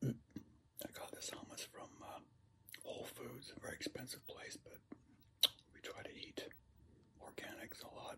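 A man whispers at a fairly slow pace. He leaves long, frequent pauses. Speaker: home vlogger. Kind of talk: casual vlog chat. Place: home room.

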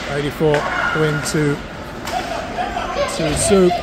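The recording has loud background noise. The sound is dry with no echo. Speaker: hockey game commentator. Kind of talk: live sports commentary. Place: stadium.

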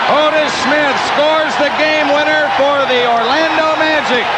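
Crowd noise fills the background as a man speaks at a very slow pace. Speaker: play-by-play announcer. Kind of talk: sports commentary. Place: stadium. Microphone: headset.

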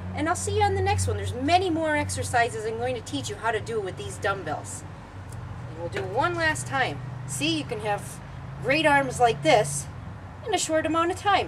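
Noticeable background noise runs under speech at a moderate pace, broken by long, frequent pauses. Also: woman. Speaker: fitness instructor. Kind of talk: tutorial sign-off. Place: garden. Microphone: camera far.

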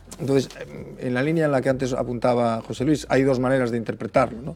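A man talks at a very fast pace while faint music plays in the background. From Galicia, La Estrada; Galicia. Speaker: political commentator. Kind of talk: panel debate. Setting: TV studio. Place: studio. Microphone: lapel.

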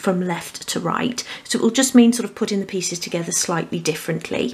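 A woman's voice at a fairly quick pace with ordinary pitch variation. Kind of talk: tutorial. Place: home room.

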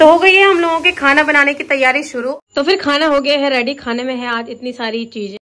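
A raised, projected voice at a moderate pace with hardly any pauses and big swings in loudness. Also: woman, high pitch for a woman, ordinary pitch variation. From Uttarakhand, Rudraprayag. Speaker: vlogger. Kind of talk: casual vlog talk to camera. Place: kitchen. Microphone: phone near.

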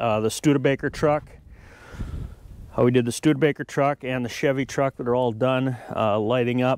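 Against a quiet background, a man speaks fairly quickly with fairly even intonation, the sound dry and free of echo. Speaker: farm owner vlogger. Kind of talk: casual vlog chat. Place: farm machine.

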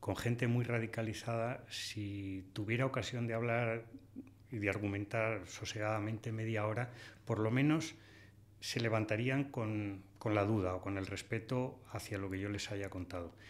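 A man speaks at a medium pitch with ordinary pitch variation. His pace is fairly slow. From Spain. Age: 60s. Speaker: hunter and conservation writer; podcast guest. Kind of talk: interview. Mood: calm, reflective. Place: studio. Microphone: studio mic.

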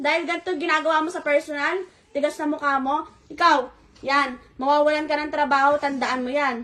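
Her voice high-pitched with a bright, sharp tone, a woman talks at a fairly quick pace in a monotone, flat intonation. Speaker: betrayed spouse confronting. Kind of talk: heated argument, angry confrontation. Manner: shouting, furious, accusatory; fast, harsh, repeated scolding.

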